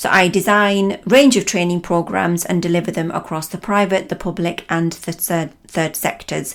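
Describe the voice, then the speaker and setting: With a Lancashire accent, a woman speaks at a fairly low pitch. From northern England, Lancashire. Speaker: trainer and coach. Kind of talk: podcast talk.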